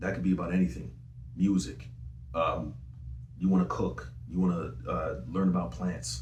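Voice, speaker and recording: Through audible room echo, a man with a very deep, low voice speaks at a moderate pace with lively intonation and long, frequent pauses. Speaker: singer and rapper. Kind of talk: interview. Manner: casual.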